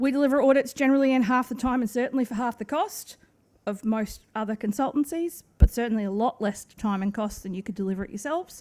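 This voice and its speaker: A woman's high-pitched voice, very fast in pace, with ordinary pitch variation. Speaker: waste management consultant. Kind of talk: conference presentation.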